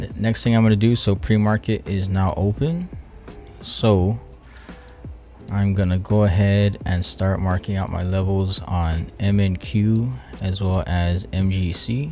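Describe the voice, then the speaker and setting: Mumbling over music in the background, a man speaks at a fairly low pitch with ordinary pitch variation. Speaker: futures trader and video creator. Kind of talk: trading session commentary.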